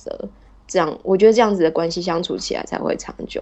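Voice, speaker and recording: A woman is speaking. Her pace is fairly quick. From Taiwan. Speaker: podcast guest, wife of a Turkish man. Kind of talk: casual interview chat.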